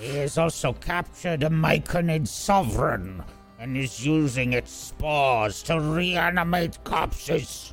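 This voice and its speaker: With clear music in the background, a man uses a put-on character voice at a fairly high pitch and a fairly slow pace. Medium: actual play. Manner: curt, disdainful.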